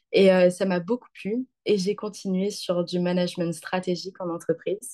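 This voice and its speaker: A woman's somewhat breathy voice with a dark, mellow tone and fairly even intonation. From southern France (Occitanie, near Montpellier). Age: 20s. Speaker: student. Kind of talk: interview. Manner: hesitant, many fillers.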